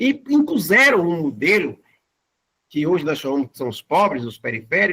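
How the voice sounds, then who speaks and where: A man's raised, projected voice, bright and sharp in tone, with very wide pitch swings and a dry, close sound with no echo. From Brazil, Fortaleza (Ceará). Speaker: community bank founder, guest lecturer. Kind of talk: lecture.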